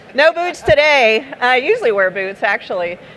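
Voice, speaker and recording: Against noticeable background noise, a woman with a high voice speaks at a moderate pace. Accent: Texan. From Texas. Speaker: startup founder and speaker. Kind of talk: conference talk. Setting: stage with audience. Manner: casual, conversational.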